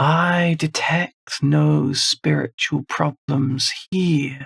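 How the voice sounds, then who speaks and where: A put-on character voice, raspy and resonant, sits at a low-to-middle pitch. The pace is very slow. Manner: gentle.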